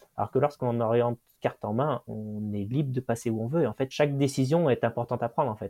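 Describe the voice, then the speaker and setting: Here a man speaks at a medium pitch with a dark, mellow tone and fairly even intonation. The sound is dry and close with no echo, over a quiet background. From France, Loire near Saint-Étienne. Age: 20s. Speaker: mountain guide and orienteering athlete. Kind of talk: interview storytelling.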